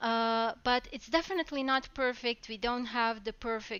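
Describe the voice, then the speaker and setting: At a moderate pace, a woman with a non-native accent speaks at a fairly high pitch with fairly even intonation. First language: not English. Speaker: talk show host. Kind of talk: live talk show. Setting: live stream.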